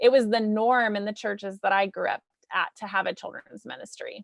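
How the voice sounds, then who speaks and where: A woman speaks in an ordinary speaking voice, fairly high in pitch with ordinary pitch variation, recorded dry and close with no echo. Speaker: children's ministry director. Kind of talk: webinar presentation.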